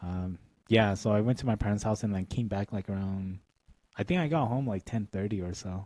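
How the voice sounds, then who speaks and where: A man with a dark, mellow tone and fairly low pitch talks at a fairly quick pace, the sound dry and close with no echo. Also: ordinary pitch variation. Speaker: podcast co-host. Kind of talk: casual chat.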